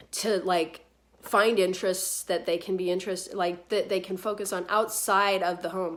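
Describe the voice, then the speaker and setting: A woman speaks at medium pitch in a flat monotone. Noticeable background noise runs underneath. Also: moderate pace. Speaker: lifestyle vlogger. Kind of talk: casual vlog monologue. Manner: hesitant, many fillers.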